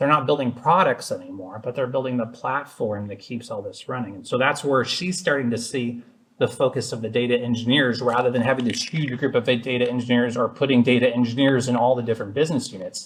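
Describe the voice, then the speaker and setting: Speaking at a very fast pace with hardly any pauses, a man uses a medium pitch. His pitch variation is ordinary. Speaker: technology director and conference presenter. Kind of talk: technical presentation.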